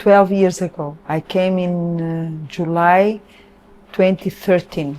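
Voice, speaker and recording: Speaking at a very slow pace, a woman talks with a Portuguese accent. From Portugal. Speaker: Krishna devotee. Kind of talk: interview answer.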